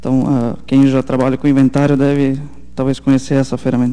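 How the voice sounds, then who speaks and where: This man's voice has a dark, mellow tone. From southern Brazil, Santa Catarina (German-settled town). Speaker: software engineer presenter. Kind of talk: technical conference talk. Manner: halting, many fillers.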